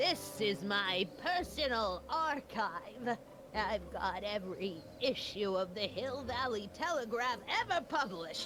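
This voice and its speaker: A woman's put-on character voice at a medium pitch, very even in loudness, at a fairly slow pace over clear background noise. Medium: video game. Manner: scolding, prim, tart.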